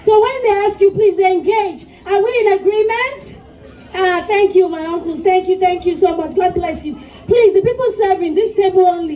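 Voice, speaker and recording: With noticeable background noise behind her, a woman talks at an extremely high pitch in an animated tone. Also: ordinary pitch variation, moderate pace. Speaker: event MC. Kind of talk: live event hosting. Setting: stage with audience.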